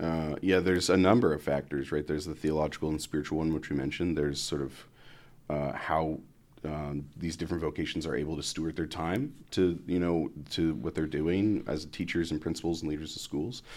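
A very clean recording against a silent background, with fairly even intonation. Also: man, very deep, low pitch for a man. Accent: Midwestern American. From US Midwest (Columbus, Ohio). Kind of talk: casual interview chat. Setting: studio podcast.

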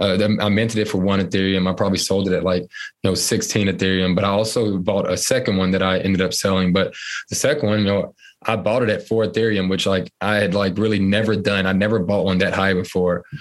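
Flat and monotone, a man with an American accent rattles along at a very fast pace in a fairly low voice, his loudness very even. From North Carolina. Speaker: marketing professional and NFT investor. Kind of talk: interview. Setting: remote call from home.

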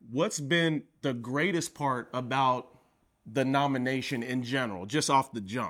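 A man speaks in a plain, everyday voice at a medium pitch. His pace is fairly slow, with ordinary pitch variation. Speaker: podcast host. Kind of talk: interview conversation. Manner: laughs often.

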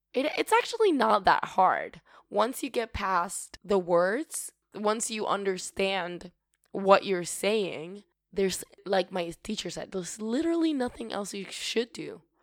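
Against a silent background in a very clean recording, a woman speaks slowly with lively intonation at a medium pitch.

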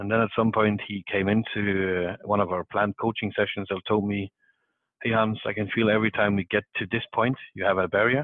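Here a man talks at a fairly quick pace in a fairly low voice. His intonation is monotone and flat. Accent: Danish. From South Denmark. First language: Danish. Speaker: salesperson. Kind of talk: casual chat.

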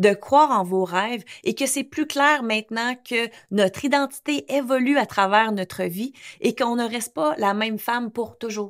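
Animated in tone, a woman speaks at a moderate pace with a fairly high pitch and ordinary pitch variation, in a very clean recording with a silent background. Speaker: English coach and podcast host. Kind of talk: casual monologue podcast; sales pitch.

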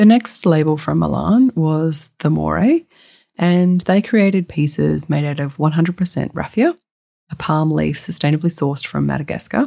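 A woman with an Australian accent on a very clean recording against a silent background. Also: moderate pace. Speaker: podcast host, sustainable fashion consultant. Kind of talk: scripted solo podcast narration.

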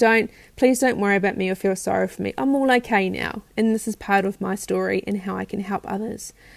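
The speaker has a New Zealand accent and a fairly quick pace. The recording is very clean, with a silent background. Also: woman. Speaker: self-care practitioner and nutrition coach. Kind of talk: personal storytelling monologue. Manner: talkative.

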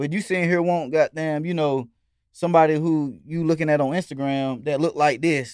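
A plain, everyday voice with an American accent at a fairly quick pace. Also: man. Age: 30s. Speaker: rapper and dancer. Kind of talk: casual chat.

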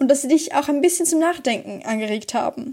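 Her tone is dark and mellow as this woman talks at a moderate pace. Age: young. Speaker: student podcaster. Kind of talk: scripted narration.

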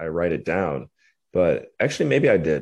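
A man talks with a very deep, low pitch. Behind him the background is quiet. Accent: Midwestern American. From US Midwest, Cleveland, Ohio. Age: 30s. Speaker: entrepreneur. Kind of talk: casual interview.

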